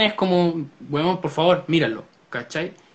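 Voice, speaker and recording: The pitch varies in an ordinary way as the words come at a moderate pace. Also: man. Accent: Chilean. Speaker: podcast co-host. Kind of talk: casual chat. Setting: live stream.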